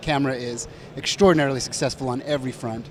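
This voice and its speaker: Noticeable noise sits behind the voice. The words come at a very fast rate. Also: man. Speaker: camera company representative. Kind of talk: trade show interview. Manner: animated.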